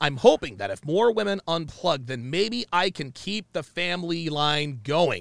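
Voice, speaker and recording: A man with an unremarkable speaking voice, fairly high in pitch, at a fairly slow pace with hardly any pauses, on a very clean recording over a silent background. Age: 30s. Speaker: podcast host. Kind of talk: casual chat. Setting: livestream studio.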